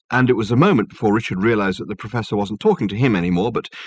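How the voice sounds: This natural reading voice moves through an ordinary range of pitch.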